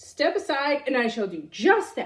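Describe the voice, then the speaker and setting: A woman's put-on character voice, high in pitch, at a moderate pace. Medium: read story. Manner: bossy, boastful.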